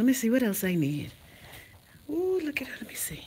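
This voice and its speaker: Against noticeable background noise, a woman talks in an animated tone. She speaks with a Bahamian accent. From Bahamas. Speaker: vlogger. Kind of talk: casual vlog. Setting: in a store. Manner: loud.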